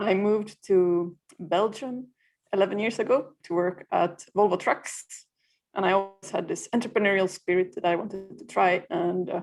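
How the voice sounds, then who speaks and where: A woman's medium-pitched voice in a Swedish accent, with fairly even intonation and music in the background. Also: moderate pace. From Finland. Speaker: freelancer community founder. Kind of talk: interview.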